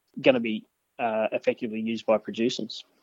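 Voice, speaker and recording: Speaking in an Australian accent, a man goes at a fairly quick pace with medium pitch and fairly even intonation. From New South Wales mid north coast, Australia. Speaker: agricultural researcher. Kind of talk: interview. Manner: hesitant, many fillers.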